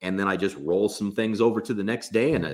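A man's very fast speech in an American accent, fairly low in pitch. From US West Coast, Los Angeles. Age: 40s. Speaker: gym owner and entrepreneur. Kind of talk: casual interview. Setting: video call.

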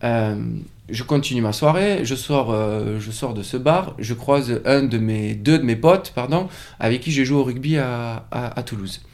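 This man has an ordinary speaking voice of medium pitch with ordinary pitch variation. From French Pyrenees. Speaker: yoga teacher and studio co-owner. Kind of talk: casual interview.

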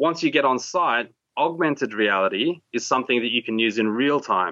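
With an Australian accent, a bright, sharp voice speaks with lively intonation in a dry, close recording with no echo. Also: man. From Australia, raised from age six; early years in Borneo. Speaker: tech entrepreneur. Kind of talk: interview conversation.

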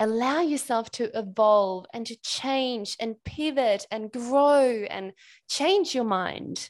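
A woman with a high pitch and lively intonation. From Sweden. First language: Swedish. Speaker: business mentor. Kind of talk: interview conversation. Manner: energetic.

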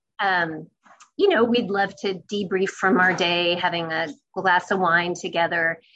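A woman speaks at a fairly slow pace in a bright, sharp tone. Her pitch is medium and her intonation fairly even. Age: 50s. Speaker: news reporter. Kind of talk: interview.

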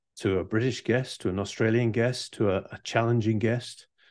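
Over a quiet background, a man speaks at a moderate pace with a medium pitch and ordinary pitch variation. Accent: English. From England. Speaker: leadership coach. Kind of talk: interview conversation.

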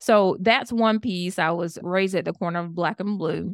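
A woman's medium-pitched voice in a Southern US accent, at a moderate pace with fairly even intonation, dry and close with no echo, on a very clean recording with a silent background. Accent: Southern American. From US South, Georgia. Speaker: public health professor and network marketer. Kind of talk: interview conversation.

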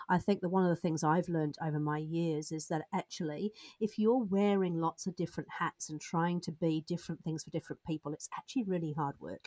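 With a British accent, a woman speaks at a fairly quick pace with hardly any pauses, her fairly low pitch, dark, mellow tone and fairly even intonation captured in a dry, close sound with no echo. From Britain. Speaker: business coach. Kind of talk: interview. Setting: podcast studio.

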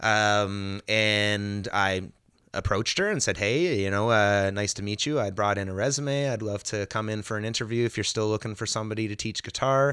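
The voice is bright and sharp, moving at a moderate pace with fairly even intonation in a very clean recording with a silent background. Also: man, fairly low pitch for a man. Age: 30s. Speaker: music school manager. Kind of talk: casual interview. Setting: music school.

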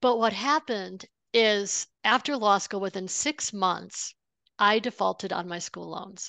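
In a dry, close sound with no echo and a quiet background, a woman with a plain, everyday voice speaks at medium pitch and a fairly slow pace, with ordinary pitch variation and big swings in loudness. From upstate New York. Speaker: money coach, former lawyer. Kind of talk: interview.

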